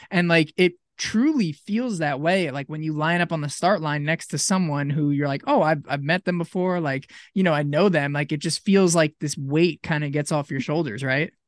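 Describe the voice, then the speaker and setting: A man talks at a moderate pace with a fairly high pitch and ordinary pitch variation, in a normal speaking voice, hardly pausing, recorded dry and close with no echo against a quiet background. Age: 20s. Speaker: podcast host and ultrarunner. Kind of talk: casual interview.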